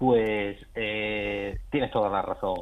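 The speaker is a man with an ordinary speaking voice. His pitch is medium, and his intonation stays fairly even. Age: young. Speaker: gynecologist. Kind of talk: expert interview.

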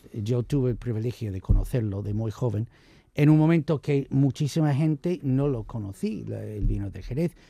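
Very clean, silent-background recording of a man at medium pitch, dark and mellow in tone, somewhat breathy, with lively intonation and a moderate pace. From United States. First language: English (speaking Spanish). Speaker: wine commentator. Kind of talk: casual chat.

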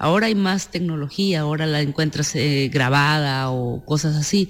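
A woman's very deep, low voice with a Mexican accent, fairly slow, with ordinary pitch variation, on a very clean recording with a silent background. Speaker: film director. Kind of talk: interview.

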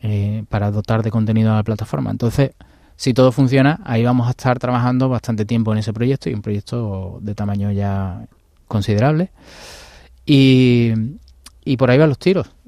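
On a very clean recording with a silent background, a man speaks at a moderate pace in a dark, mellow tone at medium pitch. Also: ordinary pitch variation, dry, close sound with no echo. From Andalusia, Seville. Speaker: video game studio founder. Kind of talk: interview.

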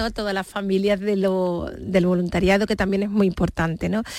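In a very clean recording with a silent background, a woman speaks at a medium pitch with a flat, monotone intonation. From Seville, Andalusia, Spain. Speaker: charity regional president, nurse. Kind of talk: radio interview.

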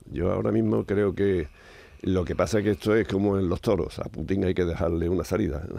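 With vocal fry and a very deep, low pitch, a man talks at a fairly quick pace, keeping very even loudness and lively intonation. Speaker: science commentator, professor. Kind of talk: casual radio chat.

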